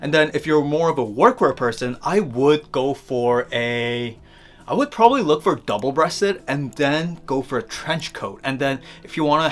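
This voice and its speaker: Heard at a moderate pace is a plain, everyday voice. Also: man. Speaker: fashion youtuber. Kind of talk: tutorial. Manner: casual, filler-heavy.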